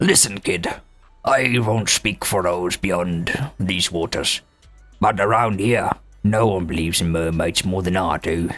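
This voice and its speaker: A man's put-on character voice, very deep and low, at a moderate pace over faint music in the background. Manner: quiet, sincere, after a deep sigh.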